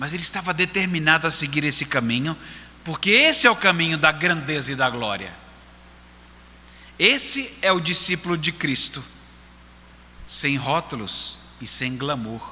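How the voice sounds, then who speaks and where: This man speaks at a fairly slow pace with long, frequent pauses. His pitch is fairly high, with ordinary variation. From Brazil, Recife. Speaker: pastor. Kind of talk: sermon.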